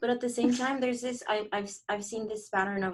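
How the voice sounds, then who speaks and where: A woman is speaking. She has a non-native accent. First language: not English. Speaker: podcast co-host. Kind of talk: casual chat. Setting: podcast room studio.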